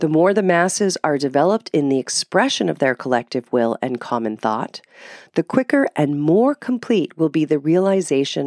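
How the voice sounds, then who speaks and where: A woman speaks with a very deep, low pitch and very wide pitch swings. The recording is very clean, dry and close, with a silent background and no echo. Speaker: podcast host and author reading a text aloud. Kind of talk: literary text reading; scripted political pamphlet reading, with casual commentary in the intro and outro. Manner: formal, measured, declamatory; earnest and didactic, with an intellectual tone.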